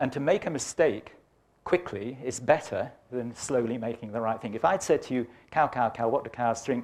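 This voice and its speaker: A man speaks in an English accent at a moderate pace, his pitch sitting in the medium range with ordinary variation. The recording is very clean, with a silent background. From England, Birmingham. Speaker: climate science professor. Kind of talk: lecture. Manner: animated.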